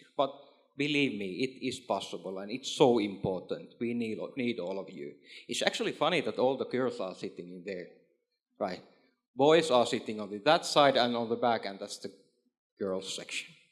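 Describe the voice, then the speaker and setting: Lively intonation and big swings in loudness mark this man's speech. He talks at a moderate pace with a Finnish accent. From Finland. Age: 40s. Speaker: trade official and former entrepreneur. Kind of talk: panel discussion. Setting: stage with audience. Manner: halting, with frequent repetitions.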